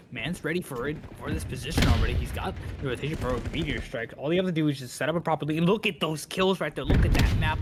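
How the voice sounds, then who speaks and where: Very fast speech over music in the background. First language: not English. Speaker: esports co-caster. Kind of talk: live commentary. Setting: live stream.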